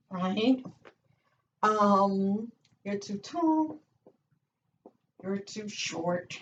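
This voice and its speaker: Breathing somewhat audibly, a woman speaks very slowly at a medium pitch with lively intonation and long, frequent pauses. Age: 60s. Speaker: motivational YouTuber. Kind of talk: motivational talk to camera. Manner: animated.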